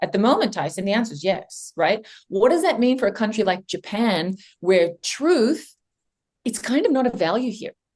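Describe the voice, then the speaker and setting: A somewhat breathy, fairly high-pitched woman's voice, animated, with lively intonation. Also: moderate pace. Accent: American. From Australia. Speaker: company CEO and AI consultant. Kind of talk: podcast interview.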